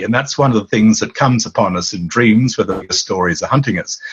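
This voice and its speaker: This man's somewhat breathy voice carries lively intonation. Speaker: author and dream teacher. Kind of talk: interview. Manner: animated.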